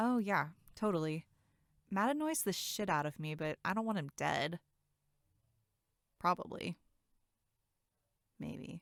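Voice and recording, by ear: Using a put-on character voice, a woman talks slowly at a fairly low pitch with vocal fry, lively intonation and long, frequent pauses, on a very clean recording with a silent background and a dry, close sound with no echo.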